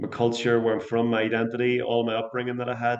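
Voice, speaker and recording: A man with a Northern Irish accent, medium pitch and a very fast pace. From Northern Ireland, Portadown. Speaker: singer-songwriter and English teacher. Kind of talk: podcast interview.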